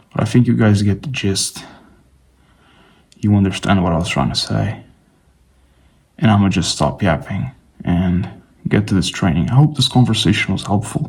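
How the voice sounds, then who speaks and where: At a moderate pace, a man speaks at a fairly low pitch with very wide pitch swings and long, frequent pauses. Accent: non-native. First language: not English. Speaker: fitness vlogger. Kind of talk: casual vlog monologue. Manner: casual, rambling with fillers.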